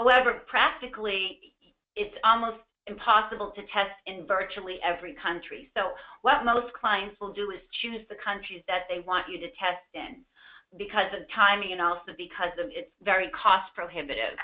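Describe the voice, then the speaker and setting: With a Boston accent, a woman talks at a moderate pace and a medium pitch, her pitch varying in an ordinary way while her loudness swings widely. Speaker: medication safety consultant, former pharmacist. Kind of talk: webinar presentation. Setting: online webinar. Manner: hesitant fillers.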